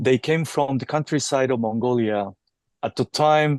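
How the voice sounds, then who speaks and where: A Japanese accent against a quiet background. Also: man. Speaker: teacher and storyteller. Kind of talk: interview conversation. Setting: podcast interview. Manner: halting, with frequent fillers and restarts.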